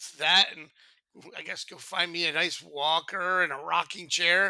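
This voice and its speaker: On a very clean recording with a silent background, a man with a high pitch and a bright, sharp tone speaks at a fairly slow pace. His intonation is monotone and flat, while his loudness swings widely. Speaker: podcast co-host. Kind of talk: casual chat.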